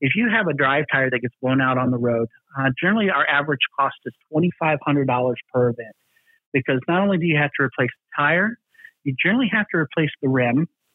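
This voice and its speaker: With an American accent, a man with a fairly high pitch speaks at a fairly quick pace using lively intonation, very even loudness, and long, frequent pauses. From US South. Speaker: trucking company maintenance executive. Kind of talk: interview.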